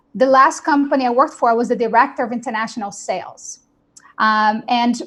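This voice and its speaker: With a Portuguese accent, a woman speaks at a fairly high pitch and with fairly even intonation. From Brazil. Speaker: real estate company founder. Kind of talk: panel webinar talk.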